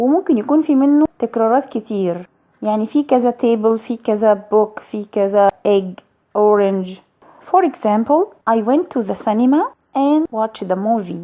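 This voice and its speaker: A woman's fairly high voice with a dark, mellow tone, lively intonation, and a moderate pace. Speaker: English teacher. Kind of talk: educational lesson to camera.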